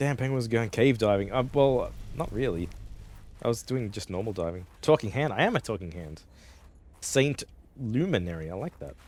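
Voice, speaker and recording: A Melbourne accent at a moderate pace, with very wide pitch swings and long, frequent pauses. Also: man, medium pitch for a man. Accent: classic Australian, pinned to inner Melbourne. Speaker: gaming streamer, vtuber. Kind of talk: casual live-stream chat. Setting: live stream. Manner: casual, halting with restarts.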